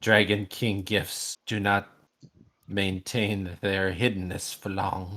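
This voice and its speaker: A put-on character voice from a man, fairly low in pitch, monotone and flat, at a very slow pace, on a very clean recording with a silent background. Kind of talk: theatrical villain voice. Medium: actual play. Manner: archaic, sighing "ah".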